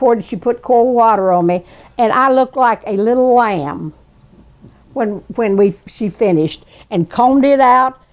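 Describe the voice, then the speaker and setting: In a Southern US accent, a woman speaks at a fairly high pitch. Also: ordinary pitch variation, moderate pace. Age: 80s+. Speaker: storyteller. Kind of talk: storytelling interview. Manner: halting.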